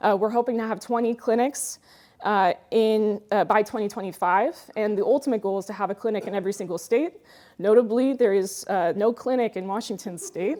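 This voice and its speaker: Her pitch is fairly high, with a dark, mellow tone. This woman speaks at a fairly quick pace with ordinary pitch variation. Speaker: conference speaker on cybersecurity. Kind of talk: conference talk. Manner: fast; casual, many fillers.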